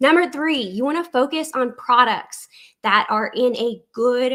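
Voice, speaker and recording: A woman with a South Louisiana accent speaks at a fairly high pitch with ordinary pitch variation. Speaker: online business coach. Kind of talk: tutorial. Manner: conversational.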